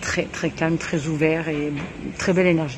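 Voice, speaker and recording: A woman with a very deep, low voice talks against noticeable background noise. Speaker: travel vlogger. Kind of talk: casual vlog tour. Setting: coworking space in Bali.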